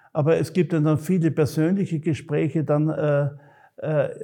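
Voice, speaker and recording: A man's dark, mellow, somewhat breathy voice at a fairly slow pace against a quiet background. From Austria, Graz (Styria). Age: 70s. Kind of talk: interview. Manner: halting, with repetitions and fillers.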